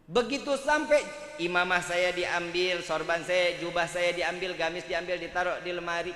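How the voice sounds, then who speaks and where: In a Jakarta accent, a man with a high voice talks at a moderate pace in an animated tone, with ordinary pitch variation, audible room echo and noticeable background noise. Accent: Betawi. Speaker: Islamic preacher. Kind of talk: sermon.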